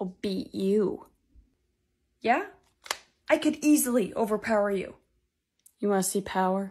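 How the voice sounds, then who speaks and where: Somewhat breathy and lively in intonation, a woman speaks at a moderate pace. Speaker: sketch comedian playing multiple characters. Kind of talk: comedy sketch dialogue. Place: home room. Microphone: phone near.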